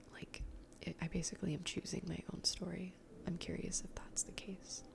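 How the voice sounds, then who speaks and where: Someone whispers in a relaxed tone at a fairly quick pace, with noticeable background noise behind. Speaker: ASMR gaming content creator. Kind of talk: casual talk to camera, gameplay commentary. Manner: soft-spoken, relaxed.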